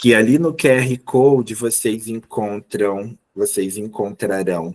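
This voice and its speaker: Very slow delivery from a man, medium in pitch, with ordinary pitch variation. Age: 30s. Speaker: teacher. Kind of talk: online lecture.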